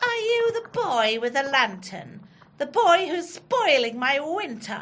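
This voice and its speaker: A woman in a put-on character voice speaks at a fairly slow pace with a menacing tone, her high pitch making very wide swings. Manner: menacing, cackling.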